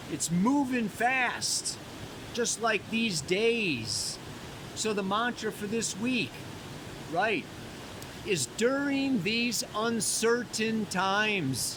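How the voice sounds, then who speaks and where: A man shouts loudly at a high pitch, at a very slow pace with long, frequent pauses. Noticeable background noise runs underneath. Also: ordinary pitch variation. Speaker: astrologer. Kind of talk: weekly astrology forecast. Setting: outdoors by a mountain waterfall. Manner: casual, laid-back; loud, yelling over water.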